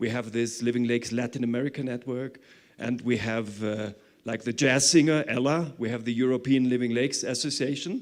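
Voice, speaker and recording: A man with a medium-pitched voice talks at a fairly quick pace and keeps his intonation fairly even. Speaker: conference speaker. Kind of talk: conference presentation. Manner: fast.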